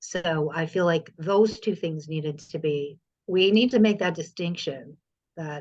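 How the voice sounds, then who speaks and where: A woman with a fairly low voice speaks at a fairly slow pace, her pitch varying in an ordinary way. It is a plain, everyday voice. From US Midwest, Indiana. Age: 50s. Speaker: poet and filmmaker. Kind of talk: podcast interview.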